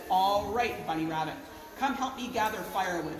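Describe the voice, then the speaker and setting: A woman growls in a put-on character voice at a medium pitch and a moderate pace. There is clear background noise and a slight echo. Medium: read story. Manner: snarling, growling.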